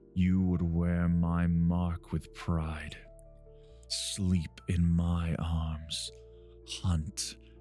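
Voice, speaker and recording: Over clear music in the background, a man uses a put-on character voice with a very deep, low pitch and a very slow pace. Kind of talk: ASMR roleplay.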